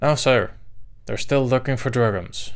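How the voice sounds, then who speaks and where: The voice is a man's, pitched at a medium level. He is doing a put-on character voice. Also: moderate pace. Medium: read story. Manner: cautious, deferential.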